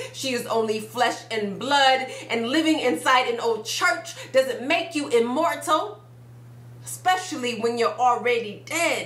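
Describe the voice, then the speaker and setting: Against noticeable background noise, a woman with a high voice speaks fairly slowly, her intonation lively. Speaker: spoken word poet. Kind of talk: spoken word poetry performance. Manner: blunt, forceful.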